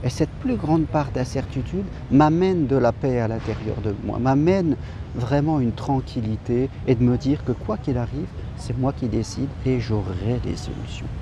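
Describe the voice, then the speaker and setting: The sound is dry with no echo, though background noise is noticeable. A man talks at a moderate pace with ordinary pitch variation. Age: 50s. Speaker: life coach. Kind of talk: motivational talk. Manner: hesitant. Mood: calm, encouraging. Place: garden. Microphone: phone near.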